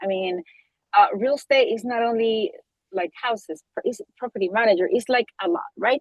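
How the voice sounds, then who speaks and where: This woman talks in a Spanish accent. Her intonation is lively. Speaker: real estate agent. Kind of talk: group discussion. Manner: halting.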